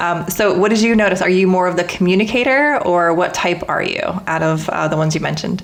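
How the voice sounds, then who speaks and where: A woman talks at a very fast pace, medium in pitch with ordinary variation. Her voice carries audible room echo over noticeable background noise. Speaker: podcast host. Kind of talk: interview conversation.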